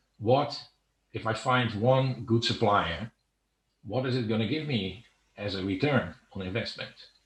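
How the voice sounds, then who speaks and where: The speaker has a Dutch accent and a somewhat breathy voice with ordinary pitch variation. The pace is fairly slow, with long, frequent pauses. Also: man, medium pitch for a man. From Netherlands. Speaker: online seller. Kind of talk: interview. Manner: halting, many fillers.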